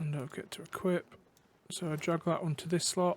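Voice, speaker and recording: With music in the background, a man talks at a moderate pace in a high pitch, his intonation monotone and flat. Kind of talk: game tutorial walkthrough. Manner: casual, hesitant.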